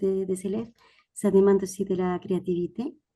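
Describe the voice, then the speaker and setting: At a fairly slow pace, a woman speaks with a Spanish accent in a dark, mellow tone. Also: quiet background. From Spain. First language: Spanish (speaking French). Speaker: audience member, language teacher. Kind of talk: audience question.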